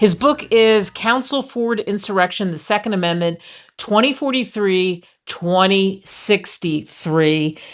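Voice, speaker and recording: With a normal speaking voice, a woman talks at a fairly slow pace in a medium pitch, her intonation lively. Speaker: radio host. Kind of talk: radio talk show host.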